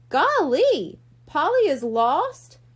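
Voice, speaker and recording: Putting on a character voice, a woman speaks at a high pitch. Her pitch swings very widely. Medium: read story. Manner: jolly.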